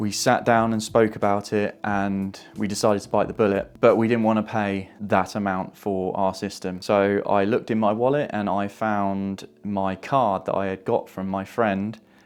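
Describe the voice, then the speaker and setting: Monotone, flat intonation in an English accent at a moderate pace, with hardly any pauses. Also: man, fairly low pitch for a man. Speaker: YouTuber. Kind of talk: tutorial. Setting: home. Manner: casual.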